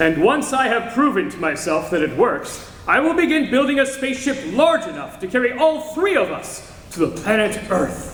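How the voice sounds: A man's put-on character voice, extremely high-pitched and fairly bright, with big pitch swings, few pauses, a moderate pace and audible room echo.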